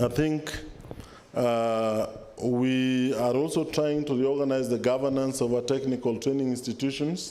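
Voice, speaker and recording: The man's voice has a dark, mellow tone and fairly even intonation, with audible room echo. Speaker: government official. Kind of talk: formal speech. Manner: formal.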